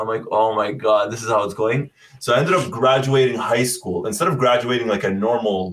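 A man speaks with a Canadian accent. His voice is somewhat breathy. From Canada, Ottawa. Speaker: football content creator. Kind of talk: casual chat.

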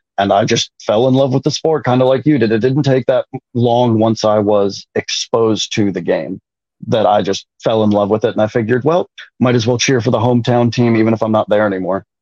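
The man has an ordinary speaking voice with an American accent, medium pitch and ordinary pitch variation, talking at a fairly quick pace with very even loudness in a dry, close sound with no echo. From Minnesota, north of the Twin Cities. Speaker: sports fan. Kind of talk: casual chat.

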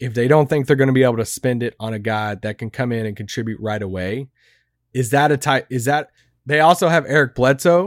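On a very clean recording with a silent background and a dry, close sound with no echo, a man with a plain, everyday voice talks fairly quickly at medium pitch with ordinary pitch variation. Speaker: co-host and writer. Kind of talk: casual sports podcast discussion. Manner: joking, playful.

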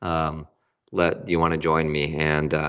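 A man is speaking here. He has a General American accent. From Argentina, raised in US Connecticut. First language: Spanish. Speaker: author and company CEO. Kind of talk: interview conversation.

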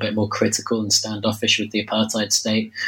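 A man speaks at a fairly quick pace with a fairly low pitch. Noticeable background noise runs behind him. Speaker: historian. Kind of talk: academic interview. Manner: hesitant, many fillers.

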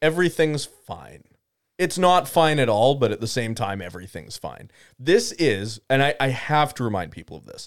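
A man's voice moves in very wide pitch swings. The recording is very clean, with a silent background. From Canada. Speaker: podcast co-host, hockey talk. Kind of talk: casual chat. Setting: studio.

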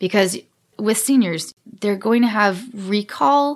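On a very clean recording with a silent background, a woman speaks in a plain, everyday voice at a medium pitch with ordinary pitch variation. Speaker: senior care technology trainer. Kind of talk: casual interview chat.

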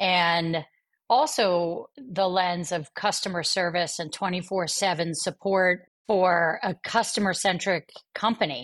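On a very clean recording with a silent background, a woman with an American accent speaks at a fairly slow pace and a medium pitch with ordinary pitch variation, in a plain, everyday voice. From US Northeast (Atlantic City, New Jersey). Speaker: bank CEO and business executive. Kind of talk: interview.

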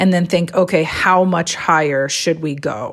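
A woman with a fairly low voice talks at moderate speed, her pitch varying in an ordinary way, while noticeable background noise is present. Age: 40s. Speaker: gymnastics writer. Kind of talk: interview.

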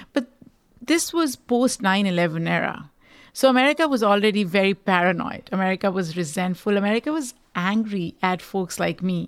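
Speaking at a fairly quick pace with a Pakistani accent, a woman uses lively intonation at a medium pitch in a very clean recording with a silent background. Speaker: podcaster and rights activist. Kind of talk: interview conversation.

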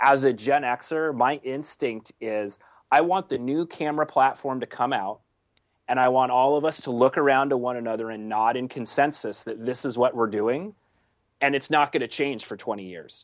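Against a quiet background, a man with a plain, everyday voice speaks at medium pitch. His pace is moderate and his pitch variation ordinary. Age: 30s. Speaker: paintball video producer. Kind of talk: casual chat.

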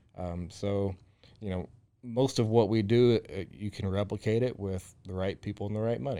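The tone is dark and mellow. Delivery comes at a moderate pace with fairly even intonation. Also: man, fairly low pitch for a man. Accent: Texan. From Central Texas, small town near Waco. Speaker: restaurant owner. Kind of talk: interview. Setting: studio. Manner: hesitant, many fillers and repetitions.

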